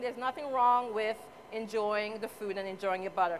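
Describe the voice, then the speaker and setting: Here a woman talks with an American accent. Noticeable background noise can be heard. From US Virgin Islands, Saint Croix. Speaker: cooking contestant. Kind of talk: cooking demonstration. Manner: chatty, animated.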